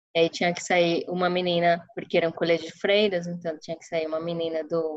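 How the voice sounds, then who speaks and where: Speaking in a Spanish accent, a woman uses a fairly low pitch. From Colombia, Caribbean coast (Santa Marta). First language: Spanish (speaking Portuguese). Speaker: product manager. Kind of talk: interview.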